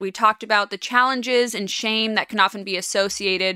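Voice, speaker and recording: Speaking with a Californian accent at a moderate pace, a woman with a medium pitch, a bright, sharp tone, an animated delivery and ordinary pitch variation is heard in a very clean, silent recording with a dry, close sound and no echo. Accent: Californian American. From Los Angeles (Westwood / Beverly Hills). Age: 20s. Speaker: podcast host. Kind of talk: casual chat.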